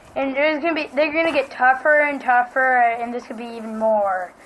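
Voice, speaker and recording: Amid noticeable background noise, a woman speaks at a moderate pace in a high voice with ordinary pitch variation. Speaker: Minecraft gamer YouTuber. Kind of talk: casual gameplay commentary. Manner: halting, filler-heavy.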